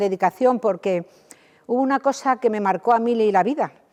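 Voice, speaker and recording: A woman's fairly high voice with a dark, mellow tone, fairly even intonation and a fairly quick pace, dry and close with no echo, quiet background. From Spain, Toledo. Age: 70s. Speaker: charity volunteer coordinator. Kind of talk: interview.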